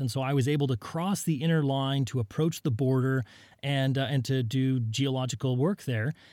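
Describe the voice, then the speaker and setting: In a very clean recording with a silent background, a man speaks at a moderate pace and medium pitch, with ordinary pitch variation and an unremarkable speaking voice. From US, southern Utah. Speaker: geologist, professor. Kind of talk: casual interview. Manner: frequent fillers and repetitions.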